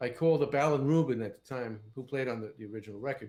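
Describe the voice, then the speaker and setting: Speaking at a very fast pace, a man talks in a New York accent. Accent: New York area. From New Jersey, Fort Lee. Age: 70s. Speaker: session guitarist. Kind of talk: casual interview chat.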